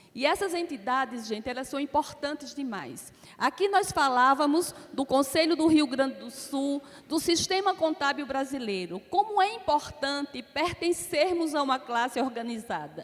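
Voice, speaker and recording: A woman with an Alagoas accent talks at a moderate pace in a high pitch with lively intonation, over noticeable background noise. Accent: Alagoas (northeastern Brazilian). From Brazil, Alagoas. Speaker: accounting academy president, panelist. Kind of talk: conference talk.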